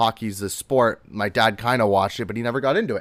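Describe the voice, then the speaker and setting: Here is a man with an unremarkable speaking voice, pitched fairly low. He moves at a fairly quick pace on a very clean recording with a silent background. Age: 20s. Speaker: hockey podcast host. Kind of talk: casual solo commentary. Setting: live-streamed solo recording.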